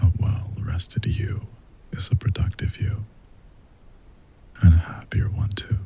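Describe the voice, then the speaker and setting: Soft-spoken and gentle in tone, a man with a fairly low pitch talks at a fairly slow pace with fairly even intonation, long, frequent pauses and noticeable background noise. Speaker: voice actor. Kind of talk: ASMR sleep aid talk to listener. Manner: gentle, soft-spoken.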